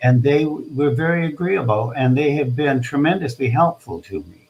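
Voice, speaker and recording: A somewhat breathy man's voice, lively in intonation, at a fairly slow pace. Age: 80s+. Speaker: theater director and retired teacher. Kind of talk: interview. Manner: halting.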